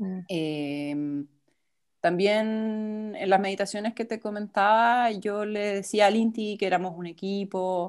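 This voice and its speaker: A woman speaks with a Chilean accent at a very slow pace, with medium pitch and ordinary pitch variation. The recording is very clean, with a silent background. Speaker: photographer and mother sharing birth story. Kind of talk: interview, personal testimony. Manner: hesitant, many fillers.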